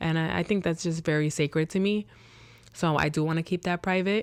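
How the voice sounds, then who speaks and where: In a very clean recording with a silent background, a woman speaks at a moderate pace with ordinary pitch variation and an unremarkable speaking voice. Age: 30s. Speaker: podcast host. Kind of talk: casual solo podcast chat. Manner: casual, filler-heavy, repetitive.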